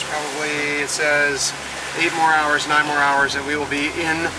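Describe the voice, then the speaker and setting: Loud background noise fills the clip. Through it, a man talks at a moderate pace. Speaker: sailing vlogger. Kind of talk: casual vlog chat. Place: boat. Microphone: phone near.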